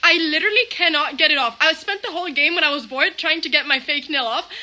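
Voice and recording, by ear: Bright and sharp in tone, a woman talks at a fairly quick pace with lively intonation.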